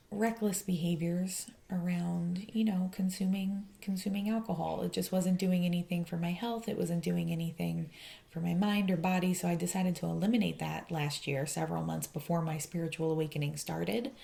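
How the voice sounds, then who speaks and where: A soft-spoken woman talks at a fairly quick pace with a fairly low pitch and a dark, mellow tone. Her voice is somewhat breathy, and her intonation stays fairly even. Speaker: tarot reader. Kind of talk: tarot reading to camera.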